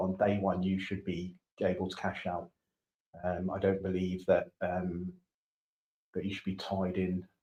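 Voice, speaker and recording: Deep and very low, a man's voice comes through with a British accent. His intonation is monotone and flat. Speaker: domain investor. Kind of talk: casual chat. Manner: fast. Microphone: too quiet, far from the mic.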